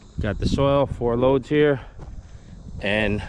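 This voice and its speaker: A man's voice sounds dry with no echo, though noticeable background noise is present. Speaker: excavation contractor. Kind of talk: casual vlog chat. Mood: relaxed, satisfied. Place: open country. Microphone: phone near.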